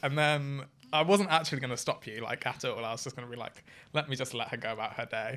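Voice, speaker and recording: Speaking very fast with a British accent, a man at a medium pitch has a bright, sharp tone and ordinary pitch variation on a very clean recording with a silent background. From UK. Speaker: friend and former fan. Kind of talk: casual chat.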